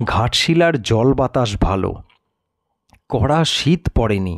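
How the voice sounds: The speech moves at a slow pace. Its intonation is lively. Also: man.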